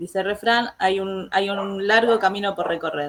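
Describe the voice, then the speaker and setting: Woman with an Argentine accent, a medium pitch and a fairly slow pace. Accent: Argentine Spanish (voseo, 'este' filler). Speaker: teacher, interview host. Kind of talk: interview. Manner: hesitant, frequent 'este' fillers.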